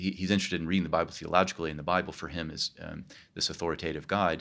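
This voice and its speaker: In a very clean recording with a silent background, a man with a Midwestern American accent speaks in a very deep, low pitch and a monotone, flat intonation. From Kansas, US Midwest. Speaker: professor of theology. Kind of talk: interview conversation. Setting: recorded at a conference.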